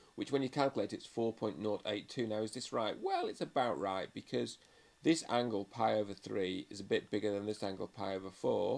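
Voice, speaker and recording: Speaking with a British accent, a man uses a fairly low pitch with ordinary variation at a fairly quick pace. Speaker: maths teacher. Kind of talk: tutorial. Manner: fast.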